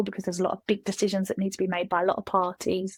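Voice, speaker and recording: A woman with a Kent accent speaks in a monotone, flat way at a medium pitch, the sound dry and close with no echo. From England, Kent. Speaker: SaaS customer success specialist. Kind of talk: casual chat.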